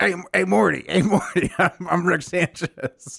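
In a put-on character voice, a man speaks. His pitch is high. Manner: acted character voice, brash.

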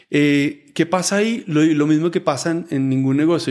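Speaking fairly quickly, a man varies his pitch in an ordinary way. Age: 50s. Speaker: entrepreneur and investor. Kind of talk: interview conversation. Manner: halting with frequent repetitions.

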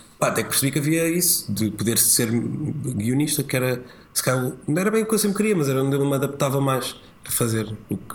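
A man with a fairly high pitch talks at a fairly quick pace, with noticeable background noise and audible room echo. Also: lively intonation. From Portugal, rural village. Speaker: TV presenter and comedian. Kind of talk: casual chat.

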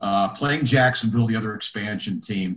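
A man talks with ordinary pitch variation. His voice is somewhat breathy. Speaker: former radio play-by-play announcer. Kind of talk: casual interview chat.

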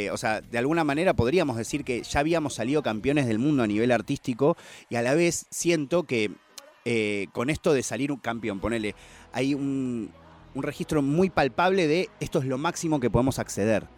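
Recorded very cleanly with a silent background, a man in an unremarkable speaking voice talks at a moderate pace with medium pitch and ordinary pitch variation. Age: 30s. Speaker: hip hop culture commentator. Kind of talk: casual chat.

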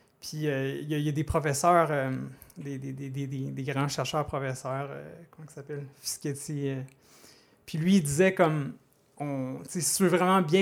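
A man with a Quebec accent speaks at a fairly slow pace and a fairly high pitch. His intonation is fairly even, broken by long, frequent pauses. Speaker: data scientist. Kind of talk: casual interview. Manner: halting, repeats words.

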